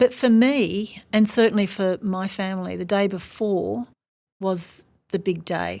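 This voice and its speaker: A woman with an Australian accent at medium pitch, ordinary pitch variation and a fairly slow pace, on a very clean recording with a silent background. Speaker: professor. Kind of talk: interview.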